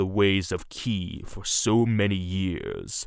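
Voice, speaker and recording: A put-on character voice from a man, fairly low in pitch, with fairly even intonation. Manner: contemptuous, haughty.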